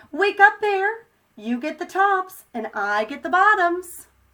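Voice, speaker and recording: A woman's put-on character voice, squeaky and extremely high-pitched, at a fairly slow pace. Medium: read story. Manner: smooth, persuasive.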